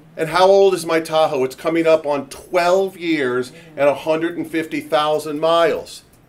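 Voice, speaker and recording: Over noticeable background noise, a man with a fairly high pitch talks at a moderate pace with fairly even intonation and hardly any pauses. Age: 60s. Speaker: real estate company founder, panel moderator. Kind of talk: panel discussion talk.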